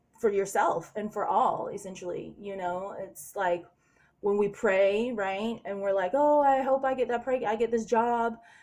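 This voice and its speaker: Her pitch sits at a medium level and varies in an ordinary way. The woman talks at a moderate pace. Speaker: spiritual vlogger. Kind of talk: casual monologue vlog. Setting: hotel room late at night. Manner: usually very loud.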